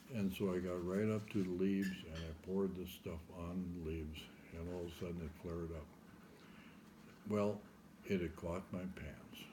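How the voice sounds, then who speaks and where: A man with an American accent and a very deep, low pitch speaks in a monotone, flat intonation, leaving long, frequent pauses, with audible room echo. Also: moderate pace. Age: 70s. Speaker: interviewee recounting life story. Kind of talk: oral history interview.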